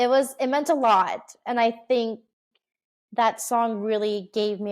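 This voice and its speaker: On a very clean recording with a silent background, a woman talks at a fairly slow pace. Her intonation stays fairly even. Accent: American. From Oregon, US. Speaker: singer-songwriter and motivational speaker. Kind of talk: interview.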